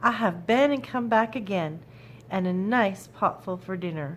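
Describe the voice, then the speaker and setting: A put-on character voice, female-sounding, medium-pitched, raised and projected, over clear background noise. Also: moderate pace. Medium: read story. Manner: bright, plucky.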